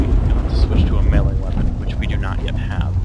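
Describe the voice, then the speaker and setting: A man with a very deep, low pitch speaks at a fairly quick pace amid noticeable background noise and audible room echo. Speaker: gaming commentator. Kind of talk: let's play commentary. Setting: at home. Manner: quiet.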